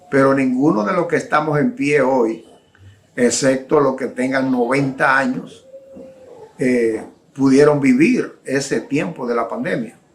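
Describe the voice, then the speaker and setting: A man talks at a fairly slow pace in a medium pitch, his intonation fairly even, with noticeable background noise behind him. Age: 60s. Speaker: preacher. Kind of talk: sermon.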